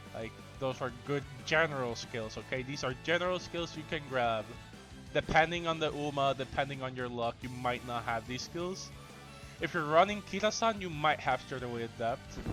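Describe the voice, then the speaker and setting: With music in the background, a man talks at a moderate pace in a medium pitch, using ordinary pitch variation. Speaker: gamer. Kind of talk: game guide commentary. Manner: casual.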